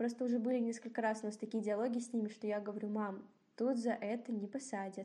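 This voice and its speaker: A woman's fairly high, somewhat breathy voice keeps a fairly even intonation. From Kazakhstan. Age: 20s. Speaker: student. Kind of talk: casual chat. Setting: remote call.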